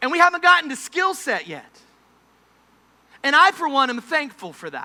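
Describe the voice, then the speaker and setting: An extremely high-pitched man's voice, raised and projected, bright and sharp, with an animated tone, lively intonation, big swings in loudness and a moderate pace. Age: 30s. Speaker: preacher. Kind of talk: sermon. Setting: camp meeting service with audience. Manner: animated, humorous storytelling.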